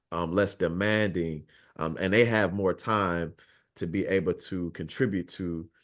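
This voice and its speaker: Very deep, low pitch from a man speaking at a fairly slow pace. His intonation is fairly even, and the background is quiet. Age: 30s. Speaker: youth worker. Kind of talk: group video call discussion. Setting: video call. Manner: halting, many fillers.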